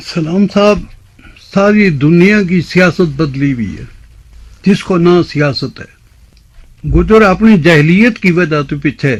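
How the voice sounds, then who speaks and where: A man's high-pitched voice with ordinary pitch variation and long, frequent pauses. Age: 80s+. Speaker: Sufi elder. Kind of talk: interview.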